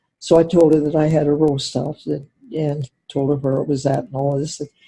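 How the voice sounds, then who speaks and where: A woman's voice sits very deep and low, somewhat breathy, with a dark, mellow tone. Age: 90s. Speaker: interviewee. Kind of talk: casual chat. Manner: halting.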